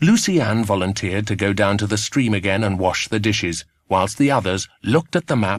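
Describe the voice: Lively intonation in plain reading aloud, over a quiet background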